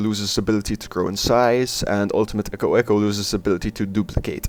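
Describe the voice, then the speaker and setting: A man with a non-native accent speaks at a fairly low pitch. His intonation is monotone and flat, with noticeable background noise. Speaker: art and cartoon video creator. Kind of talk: casual narration over drawing video. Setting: home recording, poor audio.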